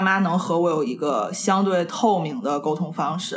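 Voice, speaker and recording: Background noise is clearly audible. The speech moves somewhat slowly. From Tianjin, China. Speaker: podcast co-host. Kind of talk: casual chat.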